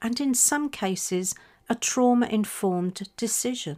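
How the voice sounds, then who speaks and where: A woman with a British accent speaks at a fairly slow pace with a fairly high pitch and very wide pitch swings. The recording is very clean, with a silent background. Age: 60s. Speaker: podcast host. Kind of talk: personal reflective monologue.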